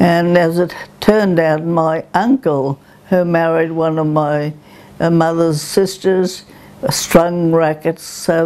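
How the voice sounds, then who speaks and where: Speaking at a very slow pace, the woman uses a fairly low pitch and fairly even intonation. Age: 90s. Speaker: ikebana teacher. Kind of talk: oral history interview. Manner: hesitant, reminiscing.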